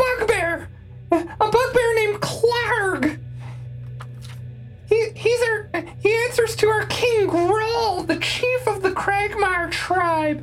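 An extremely high-pitched put-on character voice moves at a very slow pace. Clear background noise runs behind it. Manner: frightened, blurting out under interrogation.

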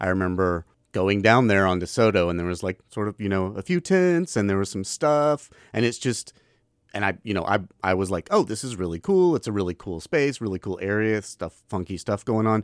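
A man talks at a fairly quick pace in an ordinary speaking voice, fairly low in pitch with ordinary pitch variation. The sound is dry and close with no echo, on a very clean recording with a silent background. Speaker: guest co-host. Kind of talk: casual chat. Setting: radio studio.

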